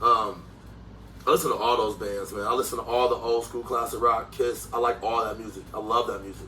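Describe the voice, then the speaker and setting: Big swings in loudness mark this fairly quick speech, which has noticeable background noise behind it. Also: man. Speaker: rapper. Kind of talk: interview. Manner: animated.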